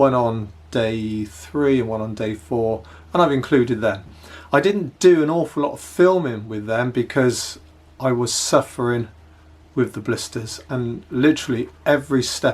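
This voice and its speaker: On a very clean recording with a silent background, a man with an English accent talks at a fairly slow pace and a medium pitch. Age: 60s. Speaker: hiking vlogger. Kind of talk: casual vlog narration. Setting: home office, then outdoors.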